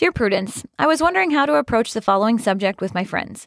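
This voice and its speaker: A woman's voice swings very widely in pitch, recorded very cleanly against a silent background with a dry, close sound and no echo. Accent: General American. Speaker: HR professional. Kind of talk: casual interview chat, reading letters aloud. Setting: studio.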